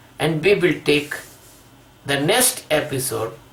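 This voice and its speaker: A man with a non-native accent speaks at a fairly high pitch, his pitch varying in an ordinary way. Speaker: spiritual teacher. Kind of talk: spiritual discourse. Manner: halting.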